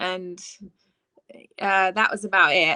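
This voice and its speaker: A woman is speaking. She has an English accent. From southeast England (Ashford, Kent). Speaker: worship leader. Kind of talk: interview. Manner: halting, with fillers.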